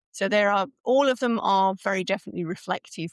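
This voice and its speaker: A woman talks with a British accent, recorded with a dry, close sound and no echo. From UK. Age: 60s. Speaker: speaker coach and author. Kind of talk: podcast interview.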